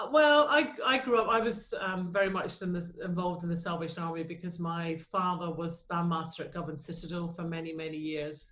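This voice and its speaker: A fairly low-pitched woman in a Scottish accent, fairly quick with hardly any pauses and ordinary pitch variation, over noticeable background noise. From Scotland, Glasgow. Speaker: choir leader and school teacher. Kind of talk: interview. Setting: video call.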